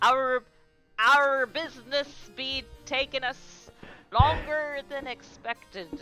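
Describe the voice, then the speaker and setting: A put-on character voice at a high pitch moves at a fairly slow pace with long, frequent pauses. Faint music plays in the background. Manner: bad, put-on.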